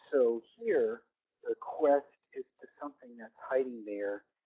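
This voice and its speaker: A man speaks quietly. His pace is very slow. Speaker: educator presenting webinar. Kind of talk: webinar presentation. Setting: online webinar. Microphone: too quiet at first, then mic held close.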